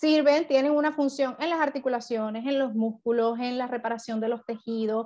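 Against a quiet background, a woman talks at a moderate pace in a high pitch with a dark, mellow tone and ordinary pitch variation. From Venezuela. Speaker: network marketing distributor. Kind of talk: product training presentation. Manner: halting, many fillers. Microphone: video call.

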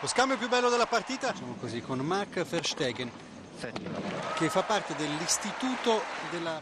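A high-pitched man with very wide pitch swings and long, frequent pauses, against noticeable background noise. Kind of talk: live sports commentary. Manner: fast, clipped, excitable play-by-play; reactive, drops to a concerned tone at the injury.

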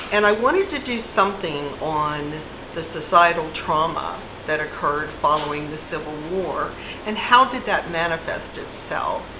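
A fairly low-pitched woman with lively intonation, at a moderate pace, over noticeable background noise. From Kentucky. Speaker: writer and journalist, recovered addict; interviewee. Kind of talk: interview. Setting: cafe. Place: cafe. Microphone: camera far.

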